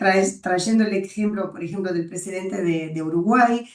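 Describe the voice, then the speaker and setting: Fairly even intonation in a woman's voice of medium pitch. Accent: Brazilian. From Brazil. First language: Portuguese (speaking Spanish). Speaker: webinar moderator. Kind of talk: webinar discussion.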